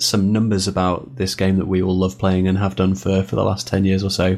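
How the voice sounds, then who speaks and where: The man speaks in a normal speaking voice at a fairly low pitch. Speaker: podcast host. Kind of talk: casual chat.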